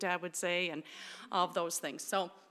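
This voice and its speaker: A woman with an American accent speaks in a fairly low pitch, recorded very cleanly against a silent background. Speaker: therapist and clinic director. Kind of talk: talk to an audience. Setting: church with audience. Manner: loud.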